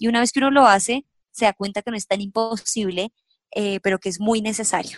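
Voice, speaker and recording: This woman has a normal speaking voice, fairly high in pitch, with fairly even intonation and a fairly quick pace. The sound is dry and close, with no echo. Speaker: personal finance youtuber. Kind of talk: interview.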